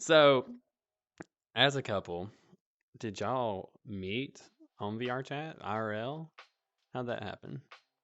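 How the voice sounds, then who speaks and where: A man with a strong Alabama accent speaks at a very slow pace, leaving long, frequent pauses. His pitch is medium, with ordinary pitch variation. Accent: Southern US (Alabama), strong. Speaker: VR club owner and podcast host. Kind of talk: casual chat.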